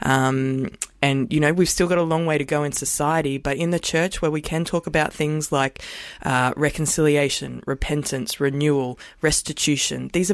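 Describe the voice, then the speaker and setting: An Australian accent marks this woman's speech, her pitch very deep and low. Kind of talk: radio panel interview. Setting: studio.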